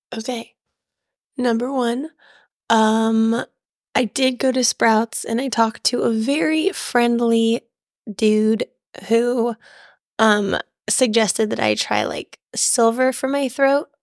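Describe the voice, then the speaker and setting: Her voice fairly high, a woman speaks at a very slow pace with fairly even intonation and long, frequent pauses. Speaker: podcast co-host. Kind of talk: casual chat.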